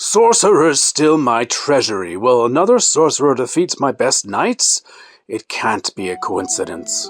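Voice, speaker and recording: A man puts on a character voice at a fairly high pitch and a moderate pace, recorded dry and close with no echo while music plays in the background. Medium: read story. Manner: commanding.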